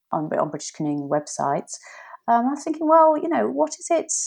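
A woman speaks with an English accent against a quiet background. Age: 50s. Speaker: whitewater paddleboard coach. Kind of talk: interview.

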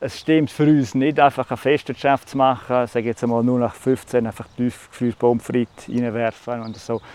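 In a Graubünden accent, a man speaks at a moderate pace and medium pitch with monotone, flat intonation, recorded dry and close with no echo. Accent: Swiss German (Bündner). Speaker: farmer. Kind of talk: interview.

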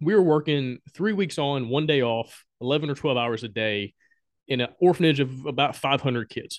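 A fairly high-pitched man with a Southern US accent and lively intonation. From Alabama, US South. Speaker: board game designer and podcaster. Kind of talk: casual interview chat.

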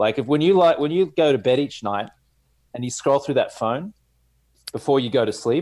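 A man with an Australian accent and a fairly high pitch, at a moderate pace, with lively intonation and long, frequent pauses. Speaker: sleep coach and entrepreneur. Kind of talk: casual interview chat.

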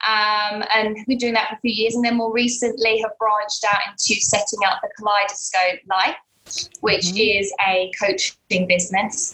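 A woman with an English accent talks at a moderate pace, her pitch fairly high. She barely pauses at all. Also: fairly even intonation. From London, England. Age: 30s. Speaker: life coach. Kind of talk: interview conversation.

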